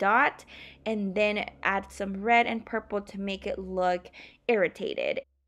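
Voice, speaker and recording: A woman talks at a fairly slow pace over a quiet background. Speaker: beauty vlogger. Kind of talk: makeup tutorial voiceover. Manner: casual, rambling.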